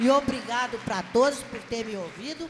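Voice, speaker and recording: A woman at a fairly high pitch and a fairly slow pace, with ordinary pitch variation, over noticeable background noise. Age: 60s. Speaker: congregation member. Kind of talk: testimony. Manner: halting.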